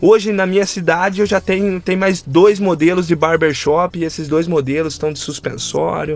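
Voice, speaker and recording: With hardly any pauses, a man talks at a moderate pace in a high pitch and fairly even intonation. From interior of São Paulo state, Brazil (Rio das Pedras). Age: 20s. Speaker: barber, small business owner. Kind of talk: casual interview conversation.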